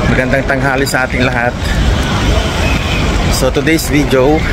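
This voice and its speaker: Loud background noise fills the clip. A man speaks, and the sound is dry, with no echo. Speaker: travel vlogger. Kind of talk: casual vlog chat. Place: street. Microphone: phone near.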